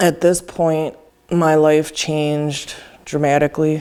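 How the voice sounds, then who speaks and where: This woman's voice sits very deep and low, in a dark, mellow tone. Her intonation stays monotone and flat. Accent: Upper Midwest. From Wisconsin, US Midwest. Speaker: person in recovery. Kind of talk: testimony.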